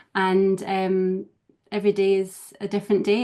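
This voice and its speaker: A woman with a Scottish accent speaks at a moderate pace and medium pitch. Her tone is dark and mellow, her intonation monotone and flat. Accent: lilting Scottish, slightly mellowed. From Scottish Highlands. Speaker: professional organiser. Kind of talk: casual interview chat. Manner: calm, gentle.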